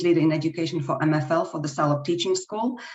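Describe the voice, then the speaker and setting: Speaking in a Slovak accent, a woman uses a fairly low pitch. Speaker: language teacher. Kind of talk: webinar presentation.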